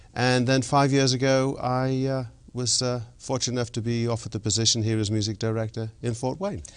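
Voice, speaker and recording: A man speaks at a fairly quick pace with a non-native accent. His pitch is medium and his intonation fairly even. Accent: foreign, noticeable. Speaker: orchestra conductor. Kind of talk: interview.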